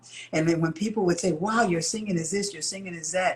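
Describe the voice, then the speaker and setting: A woman with an American accent speaks in a somewhat breathy voice at a fairly low pitch, with ordinary pitch variation. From Chicago, US Midwest. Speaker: singer. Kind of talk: interview.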